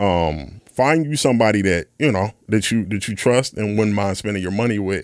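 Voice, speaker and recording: A man's plain, everyday voice with an American accent, fairly low in pitch with ordinary pitch variation, at a moderate pace in a very clean recording with a silent background. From US Midwest, west side of Chicago. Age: 30s. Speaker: session drummer. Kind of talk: casual chat.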